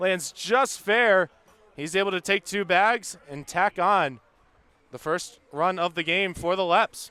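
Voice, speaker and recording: In a raised, projected voice, a man speaks at a very slow pace with a high pitch, ordinary pitch variation and a bright, sharp tone. The sound is dry and close, with no echo. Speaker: baseball color commentator. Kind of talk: color commentary alongside play-by-play.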